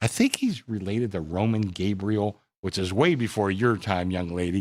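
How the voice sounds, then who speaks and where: An unremarkable speaking voice from a man, fairly low in pitch, with fairly even intonation at a moderate pace, on a very clean recording with a silent background. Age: 60s. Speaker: bookmaker. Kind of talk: sports betting panel discussion. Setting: studio.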